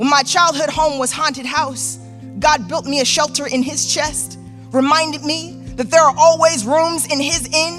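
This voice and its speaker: The voice moves at a moderate pace over music in the background. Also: woman. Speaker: spoken word artist. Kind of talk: spoken word poetry performance. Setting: live theater stage.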